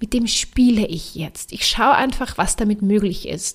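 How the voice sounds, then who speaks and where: Somewhat breathy delivery at a fairly slow pace. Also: woman. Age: 30s. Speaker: podcast host and life coach. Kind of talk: motivational monologue.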